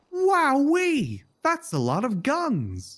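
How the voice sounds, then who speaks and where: A female-sounding voice, high in pitch, performs a put-on character voice on a very clean recording with a silent background. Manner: cartoony, exaggerated.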